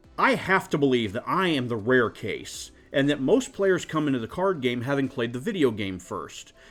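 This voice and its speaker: The speaker's pitch swings very widely at a moderate pace. Music plays in the background. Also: man. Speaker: card game player. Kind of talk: casual rant to camera. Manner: crotchety.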